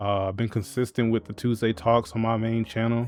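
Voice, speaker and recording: A man speaks at medium pitch. His pace is fairly quick. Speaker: content creator. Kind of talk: casual vlog monologue. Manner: monotone.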